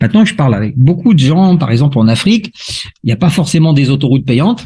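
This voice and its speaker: Lively intonation runs through this man's fairly high pitch. His tone is dark, mellow and somewhat breathy. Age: 60s. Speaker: crypto investment promoter. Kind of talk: sales pitch. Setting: video call. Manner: explanatory, with frequent hesitations.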